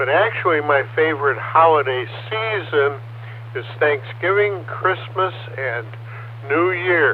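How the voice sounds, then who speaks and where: Against noticeable background noise, a man with an American accent speaks at a very slow pace with long, frequent pauses. His fairly high voice carries lively intonation. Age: 70s. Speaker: ham radio operator. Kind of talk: amateur radio net. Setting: radio transmission over repeater.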